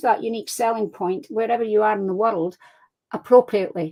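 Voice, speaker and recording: A woman in a Scottish accent at a fairly quick pace. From Scotland. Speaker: crime fiction author. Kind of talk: casual interview chat. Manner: animated.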